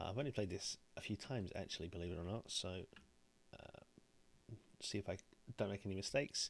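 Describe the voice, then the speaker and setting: Though he talks at a very fast pace, this man leaves long, frequent pauses, his fairly low voice showing ordinary pitch variation. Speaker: board game streamer. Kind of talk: gameplay commentary. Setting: live stream. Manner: quiet.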